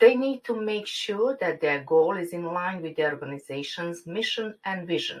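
A woman talks at a moderate pace and medium pitch. Her intonation is lively, and she hardly pauses. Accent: Croatian. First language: Croatian. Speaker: university lecturer. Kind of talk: conference presentation. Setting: online forum. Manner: formal.

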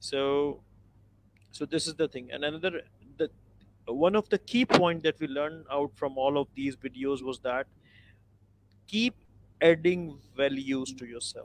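With long, frequent pauses, a man speaks at a fairly slow pace and a fairly high pitch, with ordinary pitch variation, in a dry recording with no echo. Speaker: online class co-instructor. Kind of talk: online class discussion. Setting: video call. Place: home room. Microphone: video call.

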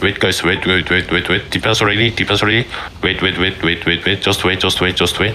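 Talking at a very fast pace, a man with a very deep, low pitch keeps his loudness very even over noticeable background noise. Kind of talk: esports shoutcast / in-game team callouts. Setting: live game voice chat / stream. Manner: rapid-fire, urgent, repeating commands three or four times; intense, commanding, excitable with countdowns.

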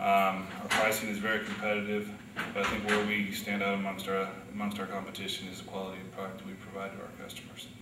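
Against noticeable background noise, a man with a fairly low pitch talks at a fairly quick pace. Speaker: factory operations worker. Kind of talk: interview answer, workplace talk. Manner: conversational, some fillers. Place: office.

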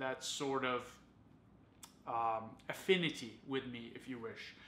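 A man speaks over light background noise, with audible room echo. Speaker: fragrance reviewer. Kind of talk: casual review vlog. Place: home room.

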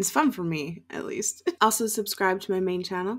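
The background stays quiet. Delivery keeps a moderate pace. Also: woman. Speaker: reaction channel host. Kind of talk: casual vlog chat. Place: home room. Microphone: webcam.

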